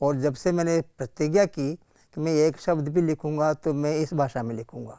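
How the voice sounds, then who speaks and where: Dry and close with no echo, a man's voice sits at a fairly high pitch with a dark, mellow tone. His intonation is fairly even. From Hadoti region, Rajasthan (Baran district village). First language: Hadoti (speaking Hindi). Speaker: poet and author. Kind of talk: interview.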